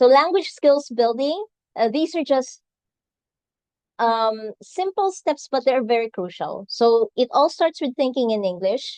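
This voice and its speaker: In a Filipino accent, a woman speaks at a fairly slow pace with a high pitch and very wide pitch swings. The sound is dry and close with no echo, over a quiet background. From Philippines, Visayas. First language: Visayan. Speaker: nurse and English exam tutor. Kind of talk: webinar talk. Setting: live event streamed on video call.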